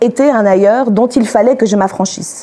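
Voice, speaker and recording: Here a woman speaks at a fairly high pitch. Background noise is noticeable. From Algeria, Algiers, then Switzerland from age 11. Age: 30s. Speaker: panel speaker. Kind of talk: testimony. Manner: halting, many hesitations.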